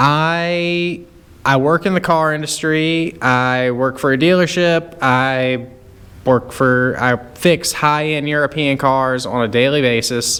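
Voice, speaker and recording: A man with a Southern US accent speaks at a very slow pace in a fairly high pitch. His loudness stays very even, with ordinary pitch variation. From US South, rural North Carolina. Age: 30s. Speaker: car YouTuber and mechanic. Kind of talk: casual rant to camera. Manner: casual, hesitant with fillers.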